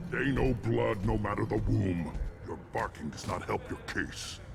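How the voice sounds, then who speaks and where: A man's put-on character voice, very deep and low in pitch, at a moderate pace over loud background noise. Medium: video game. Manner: gruff, commanding.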